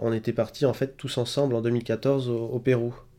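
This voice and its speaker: A man's medium-pitched voice, dark and mellow in tone, fairly slow and fairly even in intonation. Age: 30s. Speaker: mountain guide. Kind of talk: testimony. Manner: halting.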